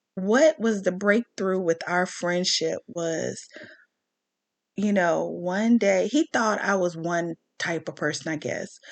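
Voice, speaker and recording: A woman's medium-pitched voice at a very slow pace, with ordinary pitch variation and a dry, close sound with no echo. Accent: American. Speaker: commentary vlogger. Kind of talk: rant monologue. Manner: animated.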